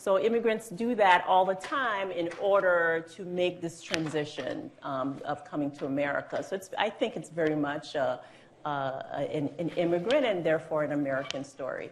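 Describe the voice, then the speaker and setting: Over noticeable background noise and audible room echo, a woman with a fairly low pitch speaks at a moderate pace with lively intonation. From Haiti. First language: Haitian Creole / French. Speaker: judge. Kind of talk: interview on stage. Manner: hesitant fillers, conversational.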